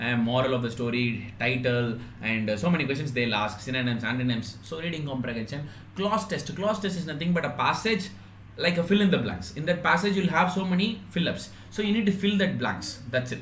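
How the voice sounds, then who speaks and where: A man's fairly high voice at a fairly quick pace with very wide pitch swings, over noticeable background noise and audible room echo. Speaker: online exam-prep teacher. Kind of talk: live online class. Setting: live stream. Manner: fast; halting, many fillers.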